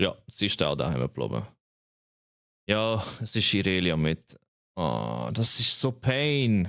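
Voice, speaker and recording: A man's very deep, low voice with a bright, sharp tone and a Swiss German accent, very slow, with very wide pitch swings and long, frequent pauses. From Switzerland. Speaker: streamer. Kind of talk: live gameplay stream chat. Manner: casual, animated.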